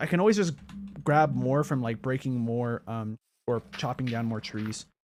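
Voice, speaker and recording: A man's voice with lively intonation at a moderate pace. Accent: American. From Mexican-born, grew up in the United States. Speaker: gaming streamer. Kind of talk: casual livestream chat while gaming. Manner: hesitant, many fillers.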